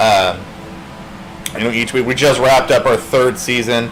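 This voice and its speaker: A man with fairly even intonation, audible room echo and noticeable background noise. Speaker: comedian and paranormal video show host. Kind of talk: casual chat.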